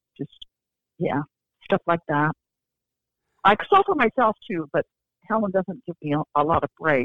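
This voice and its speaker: Speaking in a US Midwestern accent, a woman talks fairly slowly at a fairly low pitch, her intonation lively and her pauses long and frequent. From Iowa. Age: 70s. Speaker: fiction writer. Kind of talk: interview.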